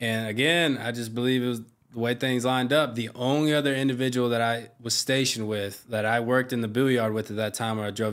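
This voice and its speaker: A man talks at a fairly quick pace and medium pitch. His intonation is monotone and flat. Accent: American. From US South, South Carolina (Myrtle Beach). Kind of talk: casual chat.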